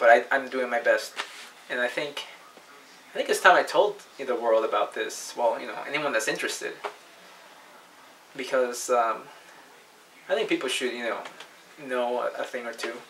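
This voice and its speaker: Over noticeable background noise, a man speaks at a moderate pace with big swings in loudness and long, frequent pauses. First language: not English. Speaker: paranormal video blogger. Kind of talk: personal testimony monologue. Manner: halting, many repetitions and false starts.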